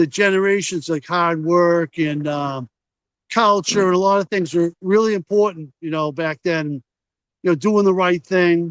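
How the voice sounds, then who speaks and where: Speaking at a fairly slow pace with an American accent, a man with a high pitch shows ordinary pitch variation in a dry, close sound with no echo. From Massachusetts, US. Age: 60s. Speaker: flat cap business owner. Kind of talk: casual chat.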